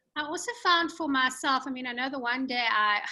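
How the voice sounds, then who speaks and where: With a South African accent, a woman speaks at a moderate pace in a high pitch with a bright, sharp tone and ordinary pitch variation on a very clean recording with a silent background. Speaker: podcast host and author. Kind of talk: interview. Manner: hesitant, many fillers.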